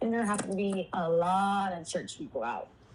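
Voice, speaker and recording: Medium pitch from a woman at a moderate pace, against noticeable background noise. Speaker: abuse survivor sharing life story. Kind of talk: testimony. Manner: halting.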